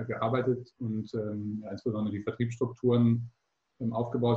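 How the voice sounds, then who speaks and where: A man talks in a monotone, flat intonation, his medium pitch held at a moderate pace. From Hamburg, northern Germany. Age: 20s. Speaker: startup founder and doctoral student. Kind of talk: interview. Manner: hesitant with frequent fillers.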